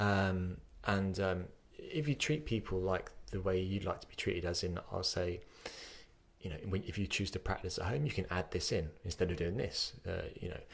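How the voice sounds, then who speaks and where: A man's somewhat breathy voice with a very deep, low pitch. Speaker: podcast host, yoga teacher. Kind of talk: podcast conversation.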